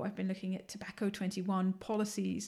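A woman with a strong London accent, somewhat breathy, in a monotone, flat intonation, on a very clean recording with a silent background. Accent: London English, still fairly strong. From London, England. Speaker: assistant professor. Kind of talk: casual interview chat.

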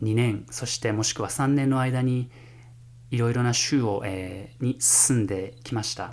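A man at medium pitch speaks at a fairly slow pace with fairly even intonation, over noticeable background noise. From Japan, Fukushima. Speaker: music professor and jazz pianist. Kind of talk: solo podcast monologue. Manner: formal.

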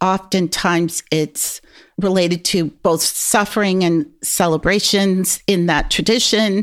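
A woman with a plain, everyday voice speaks at a fairly slow pace and medium pitch, her loudness very even, on a very clean recording with a silent background. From US, New York. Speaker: sociology professor. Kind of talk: interview.

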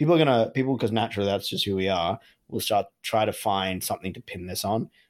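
A man with an Australian accent at a very fast pace, with ordinary pitch variation. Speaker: podcast co-host. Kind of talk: casual chat. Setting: remote call from home.

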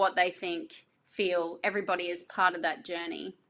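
Fairly slow speech from a woman with an Australian accent, medium pitch and a bright, sharp tone. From Australia, North Queensland. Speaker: business owner. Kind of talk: interview.

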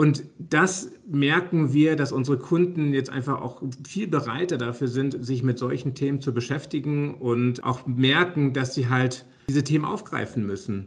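This man has a plain, everyday voice with a fairly high pitch. He talks at a fairly slow pace with ordinary pitch variation. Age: 40s. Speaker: software company managing director. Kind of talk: interview.

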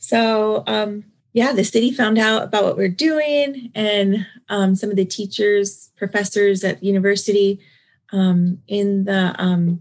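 Her pitch medium and varying in an ordinary way, a woman with an American accent talks in an ordinary speaking voice. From Southern California. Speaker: non-profit founder and hairstylist. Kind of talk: interview.

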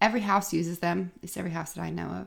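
Vocal fry marks a woman's medium-pitched voice, which has ordinary pitch variation on a very clean recording with a silent background. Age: 40s. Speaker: podcast host and zero waste shop owner. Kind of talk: solo podcast monologue. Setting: home office.

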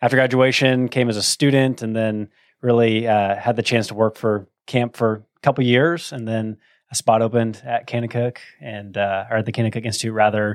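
The speaker has an American accent and talks at a fairly quick pace in a monotone, flat intonation. The recording is very clean with a silent background and a dry, close sound with no echo. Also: man. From Texas, Plano (north of Dallas). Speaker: dean of men at a ministry institute. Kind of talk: personal testimony in interview. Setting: studio.

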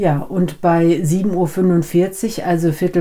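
Very slow and fairly low-pitched, a woman's voice has a dark, mellow tone. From Germany, raised from age three; Dutch family. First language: Dutch (speaking German). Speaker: podcast co-host, business German teacher. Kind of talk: casual educational chat.

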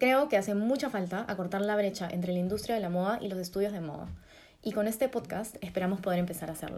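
Talking at a very fast pace, a woman of medium pitch speaks with a Peruvian accent. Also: ordinary pitch variation. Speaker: fashion designer and podcast co-host. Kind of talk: casual chat.

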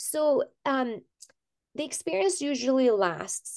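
A woman's pitch swings very widely. Her sound is dry and close, with no echo. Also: quiet background. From Iran. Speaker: physician. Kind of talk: interview.

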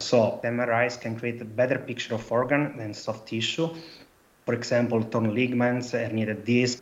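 A man with an Italian accent, medium pitch, moderate pace, and monotone, flat intonation. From Italy. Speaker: PhD researcher. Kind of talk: casual chat.

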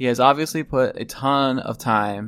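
On a very clean recording with a silent background, a man speaks with an Ohio accent. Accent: Ohio, ooh-sound vowels. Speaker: podcast host. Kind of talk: casual chat.

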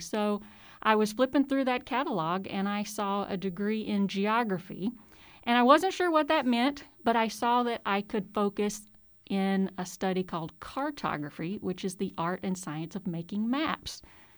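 In a very clean recording with a silent background, a woman with a Southern US accent and a fairly high pitch speaks at a moderate pace with lively intonation. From Mississippi. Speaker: college professor. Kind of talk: casual interview. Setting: studio.

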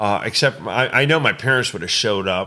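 On a very clean recording with a silent background, a man with a medium pitch and a bright, sharp tone speaks at a fairly quick pace with lively intonation. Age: 50s. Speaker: horse trainer and clinician. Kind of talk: casual chat. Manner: halting, many repeated words.

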